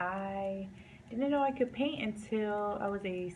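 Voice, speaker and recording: A somewhat breathy woman talks at a very slow pace, with audible room echo around her voice. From US South, North Carolina. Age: 20s. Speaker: painter. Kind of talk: casual vlog talk. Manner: casual, many fillers.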